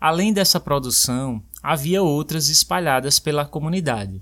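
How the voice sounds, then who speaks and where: With an ordinary speaking voice, a man talks at a moderate pace and fairly high pitch, his intonation lively, on a very clean recording with a silent background. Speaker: podcast host and language teacher. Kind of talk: scripted personal narration. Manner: clear and measured for learners.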